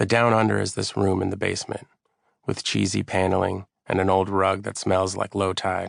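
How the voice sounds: Quiet background and a natural reading voice.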